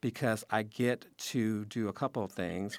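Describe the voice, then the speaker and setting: A man with an American accent and a plain, everyday voice, fairly low-pitched, at a moderate pace, on a very clean recording with a silent background. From Chicago. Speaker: journalist. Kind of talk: radio interview.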